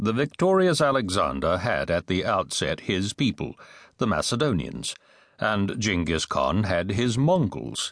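Against a quiet background, a man with a fairly low pitch and vocal fry speaks at a fairly slow pace, his pitch swinging very widely. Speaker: audiobook narrator. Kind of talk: dramatic audiobook narration of epic history. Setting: studio. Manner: grave, sweeping storyteller cadence savoring ominous imagery; measured, formal delivery with weighty pauses between clauses.

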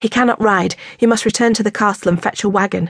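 A woman speaks in a plain, everyday voice at a medium pitch and a fairly quick pace. Her intonation is fairly even, and the sound is dry and close with no echo. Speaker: audiobook narrator. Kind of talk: dramatic first-person audiobook narration of a historical novel. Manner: urgent and breathless in the fall from the horse, then measured and tender.

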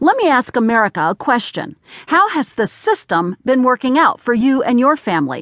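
A woman speaks at a moderate pace and high pitch, with very wide pitch swings and very even loudness. The sound is dry and close with no echo, over a quiet background. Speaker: newsreader. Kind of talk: news reading, formal scripted newspaper article read aloud in a studio-style audiobook. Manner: formal, measured and even-paced; neutral, steady, matter-of-fact delivery of quotes and figures.

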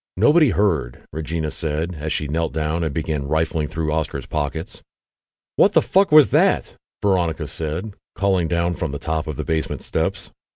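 A man speaks with a very deep, low pitch and a dark, mellow tone, with vocal fry. The background is quiet. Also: ordinary pitch variation, moderate pace. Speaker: audiobook narrator. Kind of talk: dramatic true-crime audiobook narration. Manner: tense, gripping narration with voiced dialogue.

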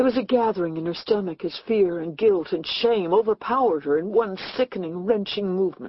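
A woman speaks at a fairly quick pace with hardly any pauses, in an unremarkable speaking voice of medium pitch and ordinary pitch variation. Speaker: audiobook narrator. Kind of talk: dramatic unabridged audiobook reading of a suspense thriller. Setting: studio. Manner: tense, hushed storytelling building dread through a death scene.

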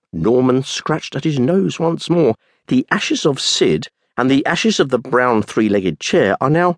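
With lively intonation, a natural voice reads aloud over a quiet background.

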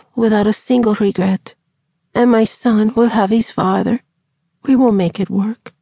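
The background stays quiet. The speaker uses a natural reading voice.

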